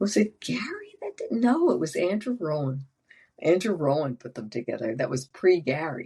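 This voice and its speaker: A woman's somewhat breathy, dark, mellow voice at a fairly low pitch and moderate pace, with very wide pitch swings and big swings in loudness. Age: 70s. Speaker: veterinarian and animal behaviorist. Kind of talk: casual chat. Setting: podcast. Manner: halting.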